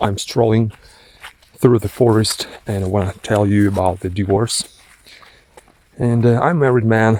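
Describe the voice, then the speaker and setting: A man with a non-native accent, fairly low-pitched and fairly even in intonation, at a moderate pace with long, frequent pauses. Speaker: vlogger. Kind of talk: casual vlog monologue. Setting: outdoors, walking in a forest. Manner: halting.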